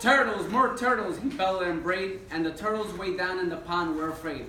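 A man speaks with a high pitch in a room with audible echo. Light background noise sits underneath. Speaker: guest. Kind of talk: reading a story aloud to children. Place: classroom. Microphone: camera far.

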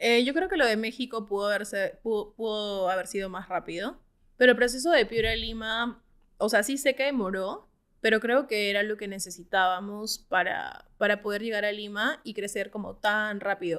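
Against a quiet background, a woman with fairly high pitch speaks at a moderate pace with ordinary pitch variation. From Peru. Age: 30s. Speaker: startup co-founder; guest. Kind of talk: interview. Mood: reflective, earnest. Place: studio. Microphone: studio mic.

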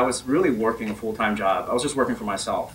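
The man's pace is very fast. He rattles through his words. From Northern Virginia, US, partly Bahamas. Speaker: tech company CEO; speaker. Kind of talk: personal story talk. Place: meeting room.

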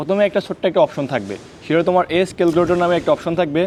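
Noticeable background noise surrounds a man who talks at a high pitch. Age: 20s. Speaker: YouTuber giving defence recruitment guidance. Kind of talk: tutorial. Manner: casual.

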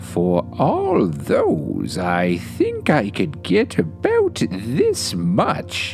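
Over clear background music, a man does a put-on character voice at a very slow pace. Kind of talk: bedtime story. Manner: folksy, sly and wheedling.

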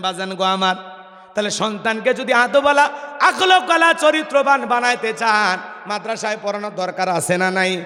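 Over noticeable background noise, a man with a high pitch for a man talks in a raised, projected voice, his tone animated and his intonation lively. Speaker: Islamic preacher. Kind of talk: sermon. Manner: animated, loud call-and-response.

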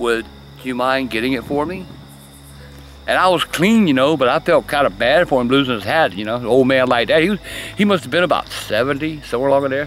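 Very fast speech from a man with a Southern US accent and lively intonation, dry and echo-free, with music playing in the background. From South Carolina. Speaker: storyteller. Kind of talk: storytelling. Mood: calm, hushed, eerie telling. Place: garden. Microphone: phone near.

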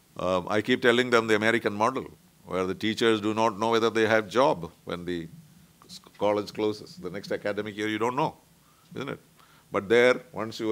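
Fairly low-pitched male speech with an Indian accent, a fairly quick pace and ordinary pitch variation. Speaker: diplomat; guest, panelist. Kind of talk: talk; panel talk, lecture. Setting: conference room. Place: meeting room. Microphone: podium.

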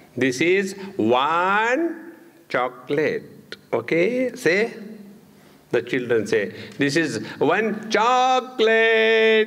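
The speaker has an Indian accent and talks at a very slow pace. Pitch swings very widely while loudness stays very even. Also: man, high pitch for a man. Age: 70s. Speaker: spiritual teacher. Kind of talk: spiritual discourse. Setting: stage with audience. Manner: conversational and humorous. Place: hall.

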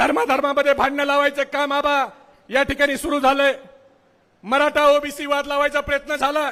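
A man projects a raised voice at an extremely high pitch, with a bright, sharp tone and monotone, flat intonation. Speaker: political party speaker at a rally. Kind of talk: political rally speech. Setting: stage with audience. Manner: loud, fiery oratory.

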